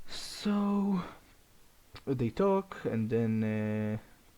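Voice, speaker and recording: A man speaks with a non-native accent. His voice sits at a medium pitch with a dark, mellow tone. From Europe. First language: not English. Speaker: fan fiction storyteller. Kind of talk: casual improvised storytelling. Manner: halting, many restarts and fillers.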